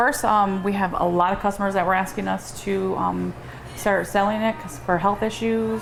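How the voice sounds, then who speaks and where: A woman speaks at a medium pitch with ordinary pitch variation. Noticeable background noise runs underneath. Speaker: store manager. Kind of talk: interview answer.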